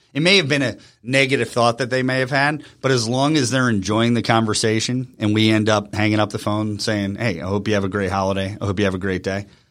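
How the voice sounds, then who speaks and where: Very fast with hardly any pauses, a man speaks at fairly low pitch with ordinary pitch variation in a very clean recording with a silent background. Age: 40s. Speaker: marketing CEO and former radio personality. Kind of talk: casual interview. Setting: studio.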